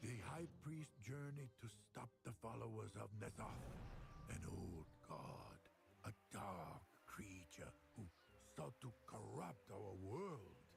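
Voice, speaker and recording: Against clear background noise, a man puts on a character voice with a fairly low pitch, speaking very slowly with long, frequent pauses. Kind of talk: fantasy lore narration. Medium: video game.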